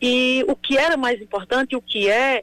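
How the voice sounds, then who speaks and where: Captured with a dry, close sound and no echo, a woman speaks high in pitch with lively intonation. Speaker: elected mayor. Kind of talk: radio interview.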